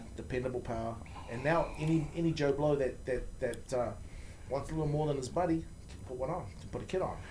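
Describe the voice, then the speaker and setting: A man with a New Zealand accent, fairly high in pitch yet dark and mellow in tone, somewhat breathy, at a very fast pace with ordinary pitch variation and audible room echo. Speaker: motorcycle performance parts company founder. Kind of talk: casual interview. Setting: studio. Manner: repetitive, stammering restarts.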